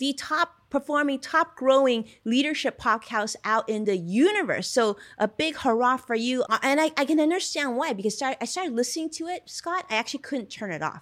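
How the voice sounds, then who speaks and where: A woman with a high pitch talks at a fairly quick pace, her tone animated and her intonation lively. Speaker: podcast host. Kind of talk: interview conversation.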